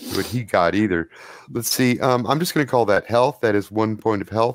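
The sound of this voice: An unforced reading voice is heard in the clip.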